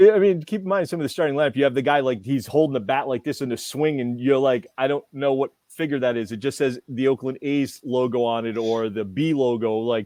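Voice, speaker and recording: With a New England accent, a man talks at a fairly quick pace with hardly any pauses. His pitch varies in an ordinary way. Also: medium pitch for a man. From New England, US. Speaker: toy show co-host. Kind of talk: casual chat. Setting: live stream. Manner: animated.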